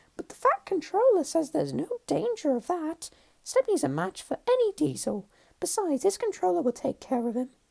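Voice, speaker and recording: A squeaky, high-pitched put-on character voice. It moves at a fairly quick pace. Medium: read story. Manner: earnest, eager.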